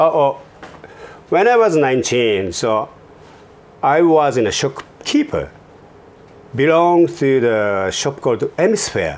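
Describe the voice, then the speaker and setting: A man with a non-native accent, fairly high-pitched, slow-ish in pace, with very wide pitch swings and long, frequent pauses. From Japan, Kobe area. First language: Japanese. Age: 50s. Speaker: fashion entrepreneur. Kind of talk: interview. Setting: office studio.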